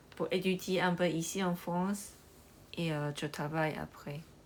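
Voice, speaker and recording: Very slow and fairly even in intonation, a woman with a Chinese accent speaks in a fairly low pitch on a very clean recording with a silent background. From Taiwan. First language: Chinese (speaking French). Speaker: livestreamer. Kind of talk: live stream chat with viewers. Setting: livestream. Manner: halting, many hesitations.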